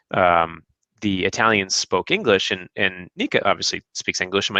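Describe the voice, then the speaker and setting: With an American accent, a man speaks fairly quickly at a fairly low pitch, his tone bright and sharp, the sound dry and close with no echo against a quiet background. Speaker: guest, husband of a Russian woman. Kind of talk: casual interview chat. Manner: halting, many repeated words.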